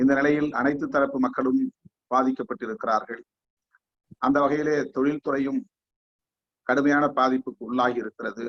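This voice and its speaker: A man with a fairly high pitch speaks in a normal speaking voice. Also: fairly even intonation. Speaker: guest speaker. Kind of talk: formal speech. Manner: formal.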